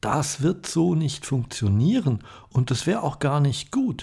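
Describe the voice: A man talks at a fairly slow pace in a raspy voice with vocal fry, a slightly mellow tone, a slightly husky edge and big pitch swings.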